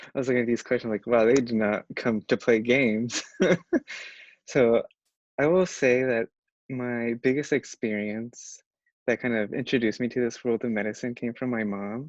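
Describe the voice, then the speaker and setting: Medium-pitched male speech with a Spanish accent, fairly even intonation and long, frequent pauses, dry and close with no echo against a quiet background. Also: moderate pace. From Modesto, California. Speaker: medical student, panelist. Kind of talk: panel answer, casual.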